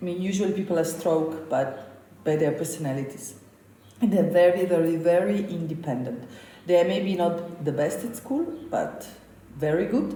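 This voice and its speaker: A woman with a fairly low voice speaks at a moderate pace, her intonation lively, with long and frequent pauses. Noticeable background noise and audible room echo fill the recording. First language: Slovenian. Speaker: chef. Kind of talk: interview.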